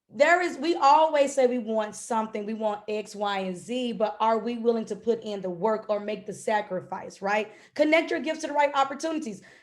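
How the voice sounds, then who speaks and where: A woman's fairly high voice, fairly quick and animated, with lively intonation and hardly any pauses. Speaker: business coach. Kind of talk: webinar talk.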